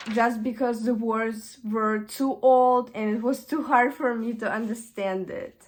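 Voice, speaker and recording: A woman with a Russian accent speaks very slowly at a fairly high pitch, keeping her intonation fairly even. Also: very clean recording, silent background. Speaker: vlogger. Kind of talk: casual chat. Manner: halting.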